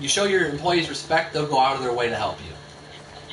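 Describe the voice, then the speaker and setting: Amid noticeable background noise and audible room echo, a man mumbles at a fairly quick pace with a fairly high pitch and ordinary pitch variation. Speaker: video game streamer. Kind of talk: gameplay live stream commentary. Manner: stuttering; fast, mumbling.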